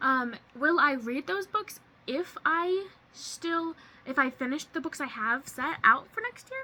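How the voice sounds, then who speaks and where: A woman's raised, projected voice, high in pitch, with lively intonation. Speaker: booktuber. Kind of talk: casual vlog. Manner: fast.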